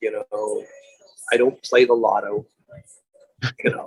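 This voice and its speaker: A man talks with music playing in the background. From New York, Long Island. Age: 60s. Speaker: pie company founder, entrepreneur. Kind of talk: interview.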